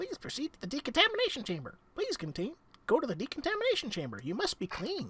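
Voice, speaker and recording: A man's put-on character voice, squeaky and extremely high in pitch, at a very fast pace. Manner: robotic, insistent, commanding.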